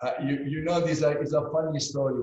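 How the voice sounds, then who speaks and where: A man with a Sicilian accent, a dark, mellow tone and a somewhat breathy sound. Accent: Italian (Sicilian). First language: Italian. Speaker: winery co-founder. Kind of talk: interview. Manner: halting.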